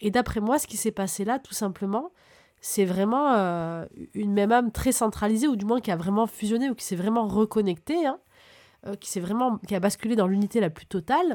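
Dark and mellow in tone, a woman's voice sits at a fairly high pitch. She talks at a moderate pace with ordinary pitch variation. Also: big swings in loudness, very clean recording, silent background. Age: 30s. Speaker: spiritual podcaster, numerology and moon energy guide. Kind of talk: casual spiritual talk to listeners. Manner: enthusiastic, animated.

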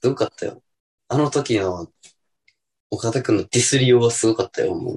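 A man talking at a fairly quick pace with long, frequent pauses, recorded dry and close with no echo. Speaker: podcast co-host. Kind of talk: casual chat.

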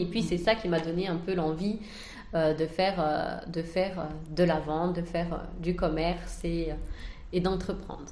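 The recording carries noticeable background noise and audible room echo. A woman speaks at a fairly low pitch with fairly even intonation. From France. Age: 30s. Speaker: entrepreneur. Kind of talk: interview.

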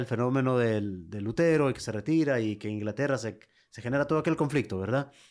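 A man with a normal speaking voice talks at a fairly quick pace and medium pitch with ordinary pitch variation, recorded very cleanly against a silent background. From Honduras, Lepaterique. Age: 40s. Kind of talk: interview.

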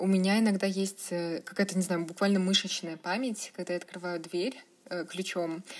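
At a moderate pace and medium pitch, a woman talks in an ordinary speaking voice with fairly even intonation. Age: 20s. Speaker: blogger. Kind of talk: casual interview.

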